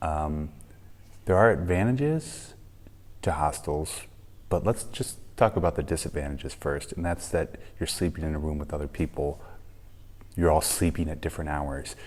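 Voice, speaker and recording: This man's pitch is very deep and low, with ordinary variation, and he speaks quietly at a moderate pace. His speech has long, frequent pauses. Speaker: travel vlogger. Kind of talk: casual vlog talk to camera. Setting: hostel room, early morning. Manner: quiet, kept low; hesitant, many ums.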